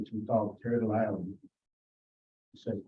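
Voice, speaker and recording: A man at medium pitch, talking at a moderate pace. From Canada, Plains Cree community. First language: Plains Cree. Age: 60s. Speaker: community delegate at council meeting. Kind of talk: prepared presentation to council. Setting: town council meeting.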